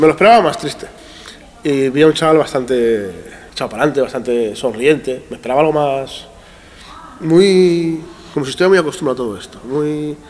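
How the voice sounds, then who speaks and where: A man at fairly high pitch and a fairly quick pace, with ordinary pitch variation, big swings in loudness, long, frequent pauses and noticeable background noise. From Iran, raised in Spain from age 5. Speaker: teacher and NGO educator. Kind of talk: casual interview. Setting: school assembly hall. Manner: halting.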